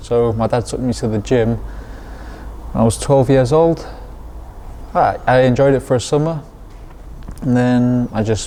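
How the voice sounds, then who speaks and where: A man speaks at a moderate pace, with long, frequent pauses and fairly even intonation. His pitch sits in the medium range, and there is noticeable background noise. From Lanzarote, Spain (English parents). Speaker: professional boxer. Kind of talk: interview.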